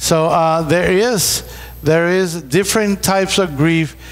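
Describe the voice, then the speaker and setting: A man with a Puerto Rican accent, at a moderate pace. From Puerto Rico. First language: Spanish. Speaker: pastor. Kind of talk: seminar talk. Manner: halting, repeats words.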